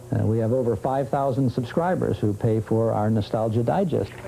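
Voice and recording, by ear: A man speaks at a moderate pace in a dark, mellow tone touched with vocal fry.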